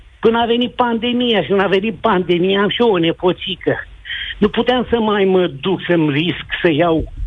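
A man keeps a moderate speed as noticeable background noise carries on around him. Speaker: retired army NCO. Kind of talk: call-in testimony.

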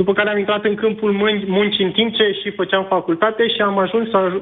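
A man's high-pitched voice. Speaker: caller, engineer. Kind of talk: call-in testimony. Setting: phone call. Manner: halting.

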